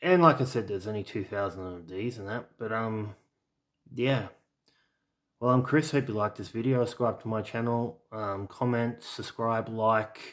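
A man with an Australian accent at a moderate pace, medium pitch and ordinary pitch variation, with big swings in loudness, on a very clean recording with a silent background. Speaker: home video collector and YouTuber. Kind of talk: casual product showcase video. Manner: halting, with many fillers.

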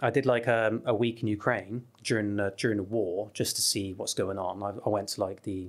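A voice with a West Country accent over a quiet background. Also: man. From southwest England. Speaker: travel YouTuber. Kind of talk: casual chat. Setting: studio. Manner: animated. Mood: relaxed, animated storytelling. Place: studio. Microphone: studio mic.

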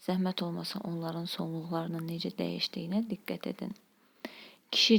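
A woman speaks fairly slowly in an ordinary speaking voice, fairly low in pitch with fairly even intonation. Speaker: language teacher. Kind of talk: lecture.

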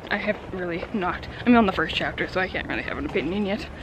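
A woman speaks at a fairly quick pace. The sound is dry with no echo, and noticeable background noise is present. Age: 30s. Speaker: vlogger, book subscription box staff; book vlogger. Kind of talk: casual vlog. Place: street. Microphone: earbuds.

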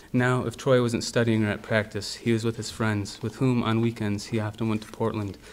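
A man speaks at a fairly quick pace in a fairly low pitch. His intonation is monotone and flat. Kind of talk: literary reading. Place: hall. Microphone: podium.

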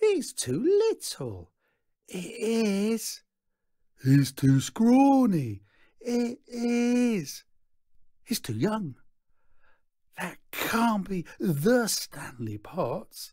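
In a put-on character voice, a man talks at a high pitch with very wide pitch swings, a dark, mellow tone, a very slow pace and long, frequent pauses, on a very clean recording with a silent background.

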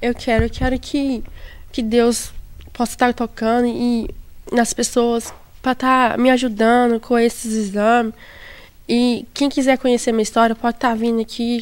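Her voice is high for a woman and monotone, with flat intonation and long, frequent pauses. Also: moderate pace. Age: 20s. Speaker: kidney patient. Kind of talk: interview testimony. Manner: halting. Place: garden. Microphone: handheld.

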